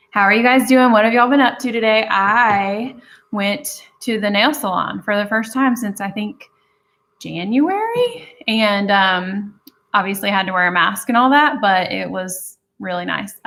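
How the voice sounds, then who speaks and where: At a fairly slow pace, a woman with a Southern US accent talks in a fairly high, bright, sharp voice with ordinary pitch variation. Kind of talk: casual, chatty.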